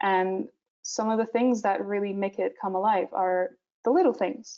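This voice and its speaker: A woman at medium pitch with a Portuguese accent. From Portugal. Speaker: visual development artist. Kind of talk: webinar presentation. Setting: online webinar, screen sharing. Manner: hesitant, many filler sounds.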